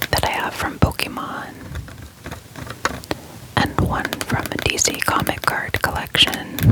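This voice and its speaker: Amid noticeable background noise, the whispering goes at a fairly slow pace, broken by long, frequent pauses. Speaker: ASMR content creator. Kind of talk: ASMR soft-spoken card showcase. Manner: soft-spoken, calm.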